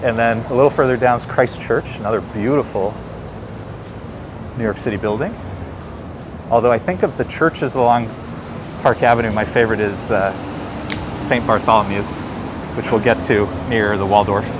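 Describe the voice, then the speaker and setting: Long, frequent pauses in an American accent, over noticeable background noise. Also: man, medium pitch for a man, fairly even intonation, moderate pace. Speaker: livestream walking tour host. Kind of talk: casual walking commentary. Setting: outdoors, walking on city streets.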